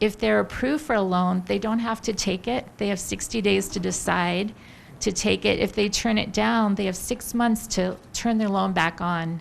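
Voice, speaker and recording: With very even loudness, a woman talks at a medium pitch and moderate pace, her pitch varying in an ordinary way. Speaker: government public affairs specialist. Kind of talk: public briefing. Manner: soft-spoken.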